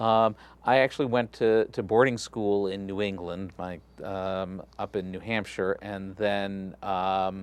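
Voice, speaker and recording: In an American accent, a man speaks at a fairly slow pace against a quiet background. His pitch is fairly low and his intonation fairly even. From Texas (Galveston, Gulf Coast). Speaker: rabbi. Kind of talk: interview.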